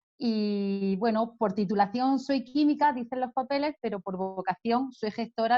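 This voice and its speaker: A woman with an Andalusian accent speaks at a moderate pace. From Andalusia, Spain (Jaén). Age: 50s. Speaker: author and business consultant. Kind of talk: interview.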